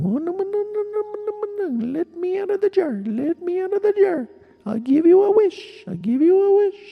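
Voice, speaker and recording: A put-on character voice, extremely high in pitch, moving at a fairly slow pace. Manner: pleading, urgent.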